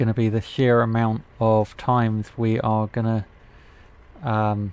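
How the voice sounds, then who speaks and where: A flat, monotone delivery in a British accent. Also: man. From Britain. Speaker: gaming YouTuber. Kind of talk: gameplay commentary. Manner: casual.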